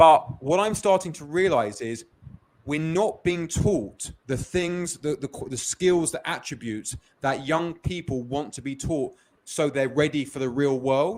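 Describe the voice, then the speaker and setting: Speaking with a London accent, a man uses a fairly high pitch, ordinary pitch variation, and a fairly slow pace. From London, England. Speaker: business founder. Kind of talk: interview. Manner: repetitive false starts.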